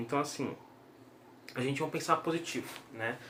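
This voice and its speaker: A man with a Brazilian accent speaks with lively intonation. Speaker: YouTuber giving daily news updates. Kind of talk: informal video bulletin. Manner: slow, deliberate; hesitant with fillers.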